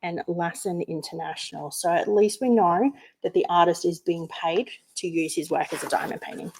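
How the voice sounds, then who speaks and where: A woman with an Australian accent speaks at a fairly quick pace. Her medium-pitched voice has a dark, mellow tone. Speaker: craft youtuber. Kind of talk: unboxing tutorial. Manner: animated.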